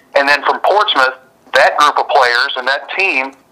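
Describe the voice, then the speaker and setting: Over noticeable background noise, a man talks at a moderate pace and a fairly high pitch, with ordinary pitch variation. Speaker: radio sports announcer. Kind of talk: interview.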